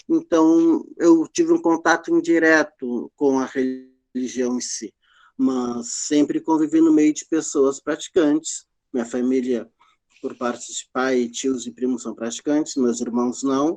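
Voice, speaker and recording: A man with a normal speaking voice, fairly high in pitch, with fairly even intonation at a fairly slow pace, in a dry, close sound with no echo. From southern Brazil, Rio Grande (RS). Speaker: Afro-Brazilian religion practitioner, panelist. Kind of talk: panel testimony.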